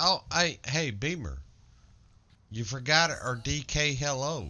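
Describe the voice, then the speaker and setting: With a Southern US accent, a man speaks at a very slow pace in a fairly high pitch, with ordinary pitch variation. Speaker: gamer streamer in guild raid. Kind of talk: casual gaming voice chat.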